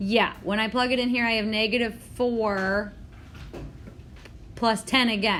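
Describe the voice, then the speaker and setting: Over audible room echo, a woman speaks at a moderate pace in a fairly high pitch with ordinary pitch variation. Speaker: math teacher. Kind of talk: classroom lecture. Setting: classroom with students. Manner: halting.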